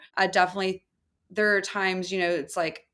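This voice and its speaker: A woman with an American accent in a very clean recording with a silent background. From US South, small town. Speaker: furniture maker and business co-owner. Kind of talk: interview.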